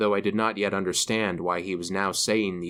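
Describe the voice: The clip is plain reading aloud. Intonation remains fairly even.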